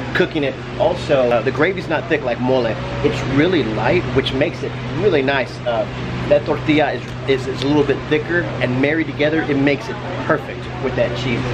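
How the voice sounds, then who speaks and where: Loud background noise surrounds a man speaking at a fairly quick pace. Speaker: food vlogger host. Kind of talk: casual vlog chat. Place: cafe. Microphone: phone near.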